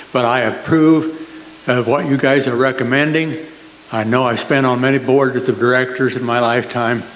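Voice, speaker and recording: A man at a medium pitch and moderate pace, with fairly even intonation and very even loudness, amid noticeable background noise and audible room echo. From Nebraska, US Midwest. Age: 80s+. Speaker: retired farmer, resident. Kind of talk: public comment at meeting.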